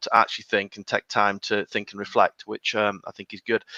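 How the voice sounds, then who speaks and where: A bright, sharp tone with a northern English accent at a fairly quick pace, in a dry, close sound with no echo. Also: man. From northern England. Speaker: HR consultancy founder. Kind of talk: podcast interview. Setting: live video podcast.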